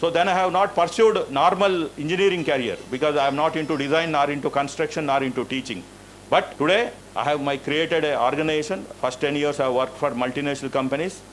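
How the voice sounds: A man talks at a fairly quick pace with few pauses. His pitch is fairly high, with ordinary variation.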